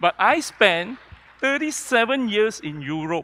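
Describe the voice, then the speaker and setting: The voice is raised and projected, with a bright, sharp tone. Its pitch swings very widely. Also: man. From Kuala Lumpur, Malaysia. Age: 60s. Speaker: professor and healthcare entrepreneur. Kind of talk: panel discussion.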